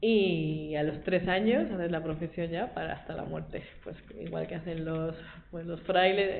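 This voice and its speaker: A woman's fairly low voice with ordinary pitch variation, noticeable background noise and audible room echo. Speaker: lay Dominican, school worker. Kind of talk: testimony talk to a group. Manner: fast.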